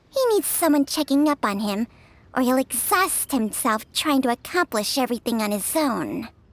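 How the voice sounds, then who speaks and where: A female-sounding, put-on character voice comes through at a high pitch on a very clean recording with a silent background. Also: moderate pace. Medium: video game. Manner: sharp-tongued and bossy.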